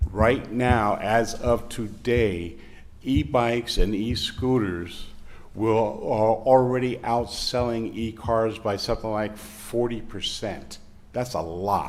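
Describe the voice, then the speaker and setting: A man's medium-pitched voice at a very slow pace, fairly even in intonation, with audible room echo. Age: 60s. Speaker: public commenter at city council meeting. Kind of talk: public comment. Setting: city council meeting room.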